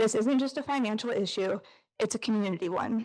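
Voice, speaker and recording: In an American accent, a woman with a fairly high pitch sounds nervous and shaky, talking at a moderate pace with ordinary pitch variation over a quiet background. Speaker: parent giving public comment. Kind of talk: prepared public comment. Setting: school board meeting with audience. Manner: shaky, nervous delivery.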